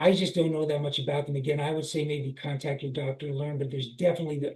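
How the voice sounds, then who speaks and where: A man talks at a very fast pace with a somewhat breathy, fairly high voice. His intonation stays fairly even. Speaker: author with Parkinson's disease. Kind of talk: interview. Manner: quiet.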